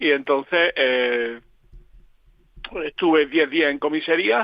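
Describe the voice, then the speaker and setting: The speaker's pitch shifts in an ordinary way. Delivery is very slow. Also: man, fairly high pitch for a man. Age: 70s. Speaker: political analyst. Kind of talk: radio interview. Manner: halting.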